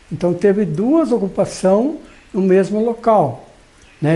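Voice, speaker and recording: A high-pitched man talks very slowly, his intonation lively throughout. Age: 60s. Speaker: farmer. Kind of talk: documentary interview. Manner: halting, frequent fillers.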